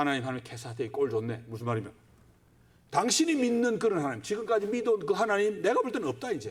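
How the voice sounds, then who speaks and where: A man speaks at a very fast pace with a high pitch and very wide pitch swings. Noticeable background noise sits behind him. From Gyeongsang, South Korea. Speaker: pastor. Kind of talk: sermon.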